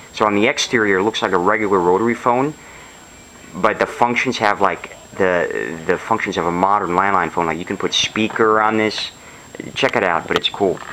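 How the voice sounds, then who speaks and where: A man talks fairly quickly, and noticeable background noise is present. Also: fairly low pitch for a man, ordinary pitch variation. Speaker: hobbyist video maker. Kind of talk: casual show-and-tell video. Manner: fast; halting, with many fillers.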